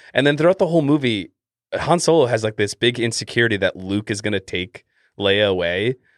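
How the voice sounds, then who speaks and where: With a Canadian accent and an ordinary speaking voice, a man talks at a fairly quick pace with lively intonation, recorded dry and close with no echo against a quiet background. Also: medium pitch for a man. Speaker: podcast host. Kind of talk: casual chat.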